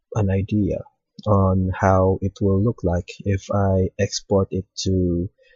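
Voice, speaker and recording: A man speaks very slowly in a very deep, low voice with a dark, mellow tone, a somewhat breathy quality and monotone, flat intonation. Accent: non-native. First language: not English. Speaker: hobbyist 3D modeling tutorial maker. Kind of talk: tutorial. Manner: hesitant, frequent fillers.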